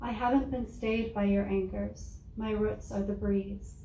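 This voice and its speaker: With a monotone, flat intonation, a woman speaks at a fairly high pitch. She keeps a moderate pace, and audible room echo surrounds her voice. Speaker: poet. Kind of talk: poetry reading.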